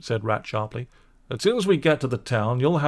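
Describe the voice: The recording is plain reading aloud.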